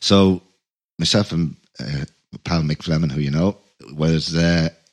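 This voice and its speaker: This man has a very deep, low pitch and a Dublin accent. He speaks at a fairly slow pace with fairly even intonation, in a dry, close sound with no echo. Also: long, frequent pauses. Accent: Dublin Irish. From Ireland. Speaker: musician and podcast host. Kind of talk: casual chat.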